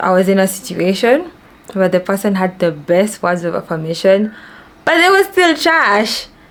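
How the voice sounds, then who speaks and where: A woman with a Kenyan accent talks at a medium pitch and a moderate pace. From Kenya, Nairobi. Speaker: vlogger. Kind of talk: casual chat.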